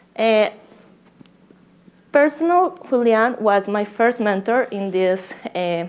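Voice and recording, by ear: A woman speaks with a Colombian accent. Her pitch is medium.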